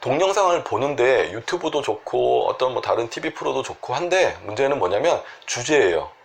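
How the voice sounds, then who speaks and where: Noticeable background noise comes through while a man speaks at a moderate pace. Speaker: Korean medicine doctor treating sleep disorders. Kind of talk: health advice talk to camera.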